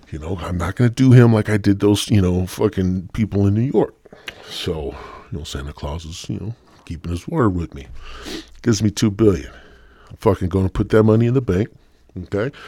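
Recorded very cleanly against a silent background, a man speaks at a fairly quick pace in a fairly low pitch, somewhat breathy with a dark, mellow tone, lively intonation, big swings in loudness and long, frequent pauses. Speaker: podcast host. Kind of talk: stoner comedy monologue, profane rant. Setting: home-recorded podcast. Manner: casual, jokey, rambling.

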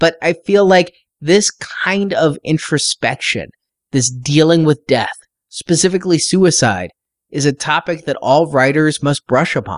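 An unremarkable speaking voice, a man at a fairly high pitch and a fairly slow pace, ordinary pitch variation, dry, close sound with no echo, quiet background. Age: 40s. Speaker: podcast host and book reviewer. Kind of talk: book review.

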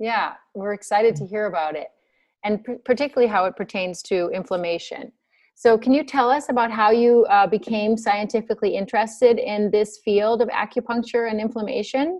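Here is a woman with an ordinary speaking voice and a fairly high pitch. She talks at a fairly quick pace with ordinary pitch variation. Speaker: podcast host. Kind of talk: interview.

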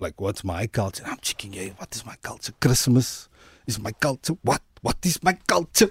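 At a moderate pace and medium pitch, a man speaks in a somewhat breathy voice with very wide pitch swings and big swings in loudness, the sound dry and close with no echo. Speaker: community activist, documentary maker. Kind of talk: radio interview.

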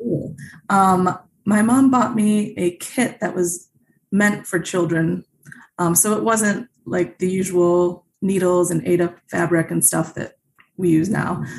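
Speaking at a very slow pace, a woman with a medium pitch sounds somewhat breathy, her pitch varying in an ordinary way. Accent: American. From Chicago suburbs, Illinois. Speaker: cross-stitch designer and author. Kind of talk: interview.

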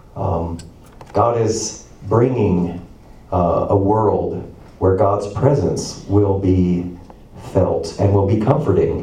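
A man with a fairly low pitch, a very slow pace and long, frequent pauses, over noticeable background noise. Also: ordinary pitch variation, very even loudness. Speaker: preacher. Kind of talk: sermon. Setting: church.

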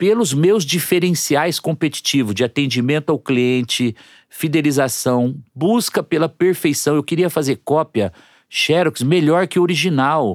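An unremarkable speaking voice comes from a man with a fairly high pitch and lively intonation. He goes at a fairly slow pace, and the sound is dry and close with no echo. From interior of São Paulo state, Brazil (Lins). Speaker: entrepreneur. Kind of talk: interview. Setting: studio.

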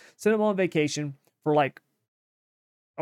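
Fairly high in pitch, a man speaks at a moderate pace with ordinary pitch variation in an ordinary speaking voice, the sound dry and close with no echo. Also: very clean recording, silent background. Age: 30s. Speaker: racing podcast host. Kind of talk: casual chat.

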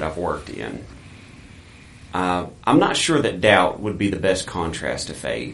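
Moderate-paced speech from a man over noticeable background noise. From US, military family, born in West Germany. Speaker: missionary. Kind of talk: testimony.

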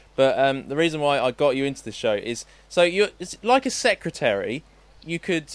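A man's ordinary speaking voice at a moderate pace with ordinary pitch variation. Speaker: podcast host. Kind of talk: casual chat.

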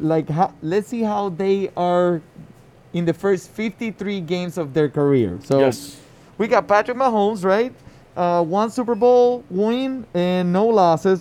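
A man's high-pitched voice with a dark, mellow tone and a Spanish accent, at a fairly slow pace. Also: ordinary pitch variation. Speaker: fantasy football podcast co-host. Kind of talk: casual sports chat. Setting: live recording at a liquor store event.

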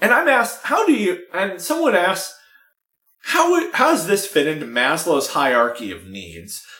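Big swings in loudness from a man talking at a moderate pace. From San Francisco, US. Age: 20s. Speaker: podcast guest. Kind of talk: casual chat.

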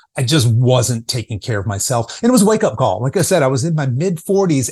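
Against a quiet background, a man with a dark, mellow, somewhat breathy tone speaks at a fairly quick pace with very wide pitch swings. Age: 50s. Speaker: fitness coach for people over fifty. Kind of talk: podcast interview.

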